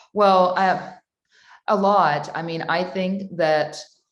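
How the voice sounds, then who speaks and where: A woman with a fairly low voice speaks in a fairly even intonation, with audible echo in the room. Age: 30s. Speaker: guest, new mother. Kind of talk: casual interview chat.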